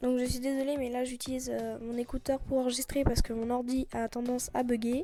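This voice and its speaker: This woman speaks fairly quickly with hardly any pauses, her high pitch holding a monotone, flat intonation and a dark, mellow tone. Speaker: nail art youtuber. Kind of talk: tutorial. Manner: hesitant, many fillers; loud.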